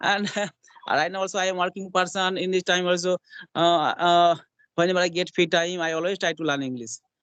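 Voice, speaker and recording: Captured in a dry, close sound with no echo, a man with a high pitch speaks with fairly even intonation. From India, West Bengal. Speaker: hospital attendant, English learner. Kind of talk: conversation practice. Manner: halting.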